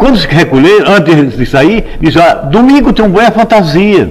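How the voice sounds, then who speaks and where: Noticeable background noise and audible room echo accompany a man speaking at a moderate pace in a high pitch. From Brazil, Olinda, Pernambuco. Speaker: composer. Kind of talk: oral history interview.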